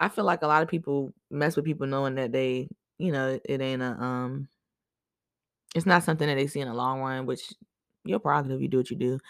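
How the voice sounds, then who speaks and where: A woman's very deep, low voice, animated in tone, at a fairly quick pace broken by long, frequent pauses. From Boston, Massachusetts. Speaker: podcast host. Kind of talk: casual storytelling monologue.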